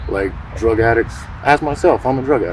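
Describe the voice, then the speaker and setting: At a fairly quick pace, a man speaks over noticeable background noise. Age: 30s. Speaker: homeless man interviewed on the street. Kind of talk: interview testimony.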